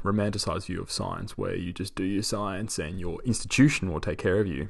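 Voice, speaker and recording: Against a quiet background, a man with a normal speaking voice talks at a fairly quick pace in a fairly low pitch. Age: 30s. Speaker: podcast host and postdoctoral scientist. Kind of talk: solo podcast monologue.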